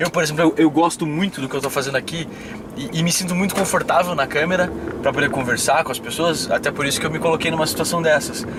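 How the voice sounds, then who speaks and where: Against noticeable background noise, a man talks very fast at a fairly high pitch with fairly even intonation. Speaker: podcast host and speaker. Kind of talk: interview conversation.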